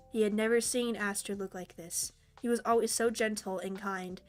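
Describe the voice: With fairly even intonation, the text gets plain reading aloud.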